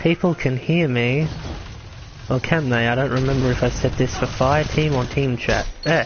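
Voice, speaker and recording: A man's mid-pitched voice, with intonation that stays fairly level, comes through clear background noise. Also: moderate pace, very even loudness. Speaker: gaming streamer. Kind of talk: live gameplay commentary.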